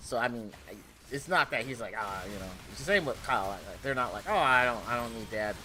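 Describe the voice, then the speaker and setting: At a moderate pace, a man speaks loudly at medium pitch in a bright, sharp tone with ordinary pitch variation. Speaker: gaming streamer. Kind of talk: casual chat. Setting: home game room office.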